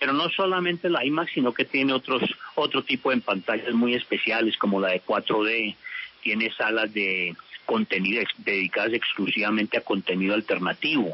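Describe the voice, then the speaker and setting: This man has a medium pitch, lively intonation and very even loudness at a moderate pace. Noticeable background noise runs behind him. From California (Culver City), US, of Colombian family. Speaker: cinema chain executive. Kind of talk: radio interview.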